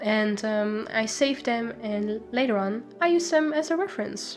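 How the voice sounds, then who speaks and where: Over music in the background, a woman with a Dutch accent speaks at a fairly slow pace in a fairly high pitch. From Netherlands. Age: 20s. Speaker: illustration student. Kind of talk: casual voiceover answering viewer questions.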